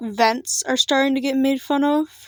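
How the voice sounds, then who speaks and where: In a very clean recording with a silent background and a dry, close sound with no echo, a woman speaks very slowly in a high pitch with fairly even intonation. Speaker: digital artist vlogger. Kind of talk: casual rant vlog. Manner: fluctuating pitch; off-the-cuff, hesitant. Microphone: laptop recording.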